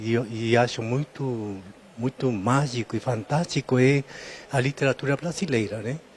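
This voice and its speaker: With a Spanish accent and ordinary pitch variation, a man speaks with long, frequent pauses in a dry, close sound with no echo. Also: medium pitch for a man, moderate pace. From Peru. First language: Spanish (speaking Portuguese). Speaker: library patron. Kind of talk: interview. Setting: public library, on location. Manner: halting, with hesitations.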